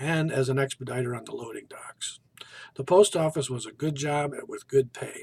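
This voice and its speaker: Speech comes at a moderate pace in an American accent. The voice is somewhat breathy, the intonation fairly even. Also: man. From US Midwest, northeast Ohio. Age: 60s. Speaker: college student. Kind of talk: self-introduction. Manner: formal.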